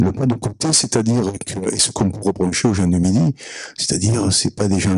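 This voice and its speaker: A man with a very deep, low pitch talks at a moderate speed, ordinary pitch variation, and noticeable background noise around him. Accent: Provençal. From Provence, southern France. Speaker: audience member. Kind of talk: audience question at a conference. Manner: hesitant, many fillers.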